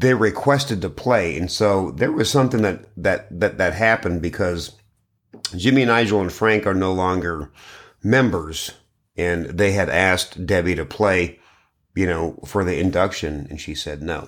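In a very clean recording with a silent background, a man talks at a very deep, low pitch with lively intonation. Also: moderate pace. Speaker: podcast co-host. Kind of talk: casual banter.

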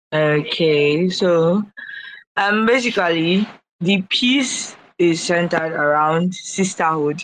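Speech with a Nigerian accent moves at a very slow pace. The loudness stays very even, and the pitch varies in an ordinary way. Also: woman, fairly low pitch for a woman. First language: Igbo. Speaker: artist. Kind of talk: casual live audio room chat.

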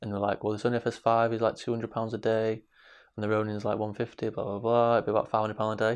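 Against a quiet background, a man talks very fast in a flat monotone. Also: medium pitch for a man. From Manchester, England. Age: 20s. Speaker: film director. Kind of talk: interview.

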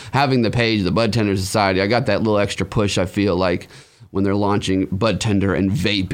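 With an American accent, a man has a plain, everyday voice, a fairly low pitch, fairly even intonation and a fairly quick pace in a very clean recording with a silent background. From Humboldt, California and Arizona. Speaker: cannabis social media personality. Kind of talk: casual interview.

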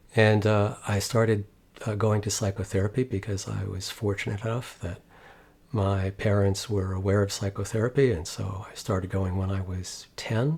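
Somewhat breathy, a man speaks at a fairly low pitch and moderate pace with fairly even intonation. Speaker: psychologist and meditation teacher. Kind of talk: interview conversation.

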